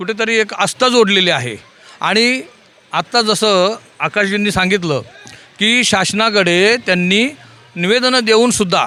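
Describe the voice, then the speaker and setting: With music in the background, a man uses a raised, projected voice at a high pitch. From Mumbai, Worli. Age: 60s. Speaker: political party activist. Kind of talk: on-location interview. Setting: outdoors at a sports ground.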